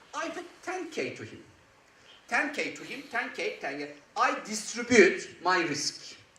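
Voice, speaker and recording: Through audible room echo and noticeable background noise, a man with a Turkish accent speaks at a fairly slow pace, his extremely high pitch making very wide swings. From Turkey. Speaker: angel investor, conference speaker. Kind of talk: conference talk. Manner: animated.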